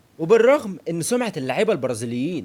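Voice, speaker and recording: With an Egyptian accent, a man talks at a fairly quick pace in an animated tone, his pitch swinging very widely over vocal fry. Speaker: football analyst YouTuber. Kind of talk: football analysis monologue.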